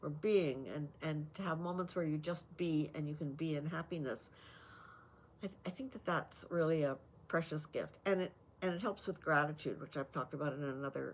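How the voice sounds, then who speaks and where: Very deep and low in pitch, a woman's voice moves with ordinary pitch variation. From Canada. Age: 80s+. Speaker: lifestyle vlogger. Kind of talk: talk to camera. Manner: hesitant, many fillers.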